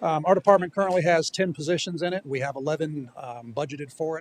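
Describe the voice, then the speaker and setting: A man's fairly high voice at a very fast pace, with ordinary pitch variation and a dry, close sound with no echo. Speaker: city IT director. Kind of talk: budget presentation. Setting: city hall chambers.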